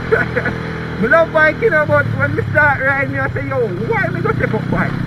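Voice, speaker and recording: A male speaker at a moderate speed over noticeable background noise. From Jamaica. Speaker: motorcycle vlogger. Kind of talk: casual motovlog talk while riding. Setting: outdoors, on a motorcycle.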